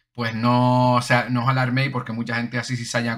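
Against a quiet background, a man with a bright, sharp tone speaks at a fairly quick pace. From Canary Islands, Las Palmas de Gran Canaria; Canary Islands. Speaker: gaming YouTuber; gaming channel host. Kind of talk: casual Q&A monologue. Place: home room.

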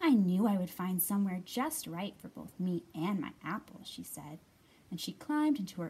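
The clip is plain reading aloud. Its intonation comes across as lively.

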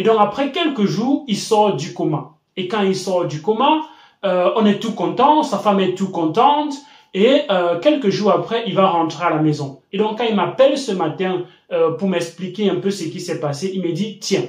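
In a room with audible echo and a quiet background, a man speaks at a fairly slow pace. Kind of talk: storytelling commentary to camera.

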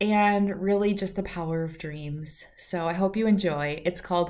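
Pitch varies in an ordinary way through this natural reading voice.

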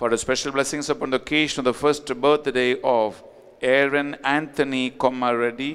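A quiet background behind a man's voice. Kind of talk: fervent sermon with repeated exhortations to confess sins. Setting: online Mass, recorded. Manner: emphatic, pleading, repetitive; animated, urgent. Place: church. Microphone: podium.

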